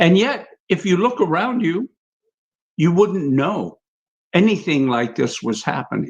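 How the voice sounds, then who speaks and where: Long, frequent pauses from a man at a high pitch and fairly slow pace, his pitch swinging very widely. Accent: American. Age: 70s. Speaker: panelist. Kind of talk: livestream panel discussion. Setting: livestream.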